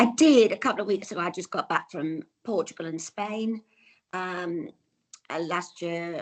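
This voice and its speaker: A woman talks in an English accent. Her pitch varies in an ordinary way against a quiet background. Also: medium pitch for a woman, moderate pace. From England. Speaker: traveller, tour customer. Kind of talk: casual interview.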